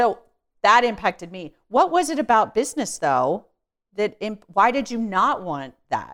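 A woman with a fairly high pitch talks at a fairly slow pace in an animated tone, her voice showing vocal fry, very wide pitch swings and big swings in loudness. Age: 40s. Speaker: podcast host. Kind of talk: interview.

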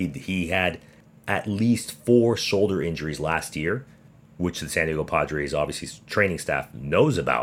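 This man has a very deep, low pitch with vocal fry. His intonation is lively and his pace moderate. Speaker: podcast host. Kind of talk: casual podcast monologue about baseball. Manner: animated, joking.

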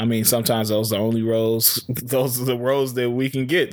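On a very clean recording with a silent background, a man speaks at a very fast pace. His medium-pitched voice has an animated tone. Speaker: podcast host. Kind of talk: casual banter podcast. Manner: joking, animated.

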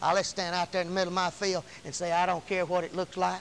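A high-pitched man with a Southern US accent. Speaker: preacher. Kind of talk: fervent sermon climax, rapid-fire scripture declarations and hallelujahs. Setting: church. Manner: impassioned, rhythmic call-and-response exhortation; emphatic, repetitive shouts of praise.

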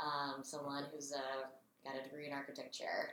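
Audible room echo carries a woman's voice as she speaks at a fairly quick pace with an American accent. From US South, Raleigh, North Carolina. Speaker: design program chair and historian. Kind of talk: interview conversation.

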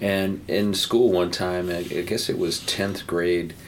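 Flat, monotone speech in an American accent comes through audible room echo and noticeable background noise. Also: man. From New Jersey. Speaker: painter. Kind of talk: casual interview.

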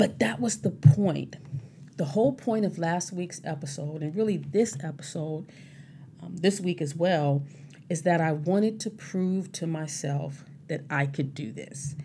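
The voice has a dark, mellow tone and comes across somewhat breathy. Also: woman. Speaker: podcast host, sobriety advocate. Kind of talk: casual solo monologue. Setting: home recording at mic. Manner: halting, repeats words.

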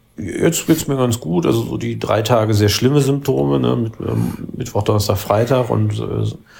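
Noticeable background noise sits behind the voice. A man speaks at a fairly low pitch and a moderate pace. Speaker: politician and podcast co-host. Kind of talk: casual chat. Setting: remote call between cities. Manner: halting, many fillers.

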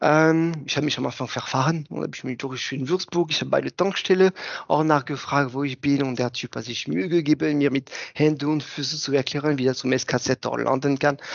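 A man with a fairly high voice speaks at a fairly quick pace with fairly even intonation. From France. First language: French (speaking German). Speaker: plastics research engineer. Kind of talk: casual interview.

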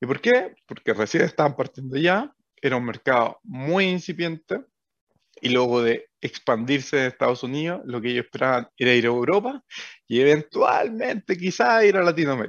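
A man with an ordinary speaking voice talks at a moderate pace. His pitch sits fairly high, and his intonation is lively. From Chile, O'Higgins region (Rengo, Rancagua). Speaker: startup co-founder. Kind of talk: interview.

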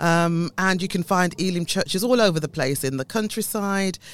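With a British accent, a woman speaks at a moderate pace with ordinary pitch variation. The recording is very clean, with a silent background. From UK, Caribbean family background. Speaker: church denomination leader, former health service manager. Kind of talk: radio interview.

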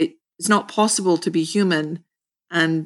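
A woman speaks in an ordinary speaking voice, fairly low in pitch, at a moderate pace. Her intonation stays fairly even, and the sound is dry and close with no echo. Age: 50s. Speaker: clinical social worker. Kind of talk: interview.

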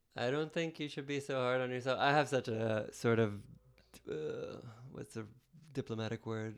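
A man at a moderate pace and a medium pitch, with fairly even intonation and long, frequent pauses. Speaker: podcast guest, filmmaker. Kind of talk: casual chat.

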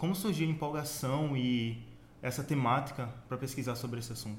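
With audible room echo, a man speaks at a fairly high pitch in a somewhat breathy voice with fairly even intonation. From Sergipe, Brazil. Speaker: student podcast host. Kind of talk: podcast interview.

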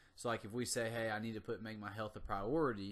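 In an ordinary speaking voice, a man with an American accent talks at a medium pitch with fairly even intonation. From US South, North Carolina. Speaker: motivational podcast host, gym owner. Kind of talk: motivational monologue. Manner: casual.

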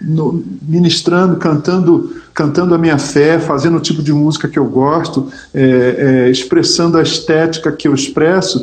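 A man with a high-pitched voice shows ordinary pitch variation, with noticeable background noise behind him. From Brazil, Rio de Janeiro. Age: 50s. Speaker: gospel musician and pastor. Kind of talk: casual interview chat.

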